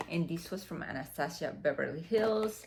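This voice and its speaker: This is a woman speaking. She has a Dominican accent. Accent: Dominican Spanish accent, rolled R's. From Dominican Republic. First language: Spanish. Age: 40s. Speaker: fashion and beauty vlogger. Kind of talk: unboxing vlog. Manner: casual, many fillers.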